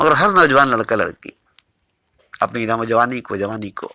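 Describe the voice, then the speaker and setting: With a bright, sharp tone, a man at a medium pitch speaks with ordinary pitch variation in a dry, close sound with no echo. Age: 60s. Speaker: spiritual teacher. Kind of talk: spiritual discourse. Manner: repetitive, emphatic.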